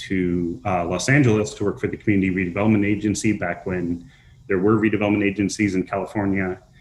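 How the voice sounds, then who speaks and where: A man with a slight Minnesota accent, fairly low pitch, fairly even intonation and a very fast pace. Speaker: nonprofit housing developer. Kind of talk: panel discussion.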